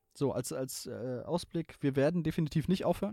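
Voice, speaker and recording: A man's lively intonation comes through a dry, close sound with no echo on a very clean recording with a silent background. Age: 20s. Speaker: gaming podcaster and streamer. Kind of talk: casual chat.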